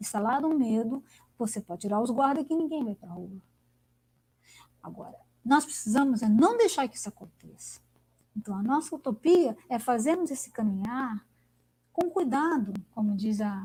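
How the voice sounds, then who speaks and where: Lively intonation and big swings in loudness shape a woman's fairly high-pitched speech with a dark, mellow tone. Her pace is moderate, broken by long, frequent pauses. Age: 60s. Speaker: academic speaker. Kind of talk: online lecture discussion. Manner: animated.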